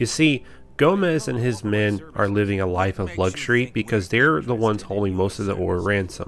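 A man speaks with an American accent and a plain, everyday voice. His pitch is fairly low, and his pace is fairly quick. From Texas. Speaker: gaming YouTuber. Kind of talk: video game review.

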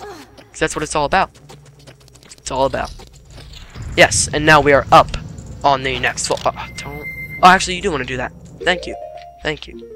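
Over noticeable background noise, the speaker goes at a fairly quick pace in an animated tone, with long, frequent pauses. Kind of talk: casual gaming commentary. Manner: animated, excitable.

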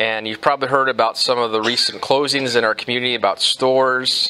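At a moderate pace, a man is talking. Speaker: pastor. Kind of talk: sermon. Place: church.

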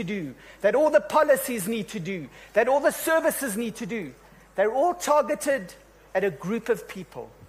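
With lively intonation, a man talks at a moderate pace in an extremely high pitch for a man. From South Africa. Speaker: session moderator. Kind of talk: panel moderation. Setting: stage with audience. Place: stage. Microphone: handheld.

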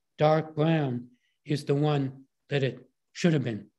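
Somewhat breathy and fairly high in pitch, a man talks at a fairly slow pace with fairly even intonation. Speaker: art historian and lecturer. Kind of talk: lecture. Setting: video call.

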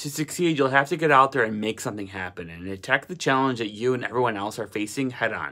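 A man at medium pitch with very wide pitch swings, set against a quiet background. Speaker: motivational vlogger. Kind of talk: motivational pep talk to camera. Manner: energetic, urgent, exhortatory; rhythmic, emphatic, repeating slogans. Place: home room. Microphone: phone near.

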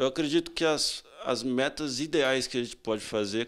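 With normal variation in pitch, a man talks fairly slowly. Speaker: interviewee. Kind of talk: interview answer. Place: home room. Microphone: handheld.

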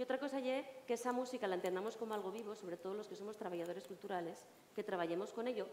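Amid light background noise and audible room echo, a woman at medium pitch speaks at a very fast pace with ordinary pitch variation. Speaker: singer and tambourine player. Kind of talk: panel discussion answer. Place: hall.

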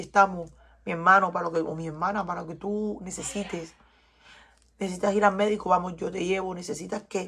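At a very fast pace, a woman speaks at a medium pitch with fairly even intonation. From Cuba. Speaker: tarot reader. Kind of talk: tarot reading.

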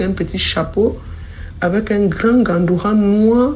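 With noticeable background noise behind her, a woman talks at a very slow pace with ordinary pitch variation. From Cameroon, coastal region. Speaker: storyteller. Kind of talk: testimony.

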